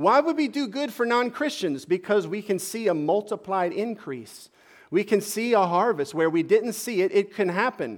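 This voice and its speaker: Over a silent background in a very clean recording, a high-pitched man talks at a moderate pace with lively intonation. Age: 40s. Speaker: pastor. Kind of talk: sermon.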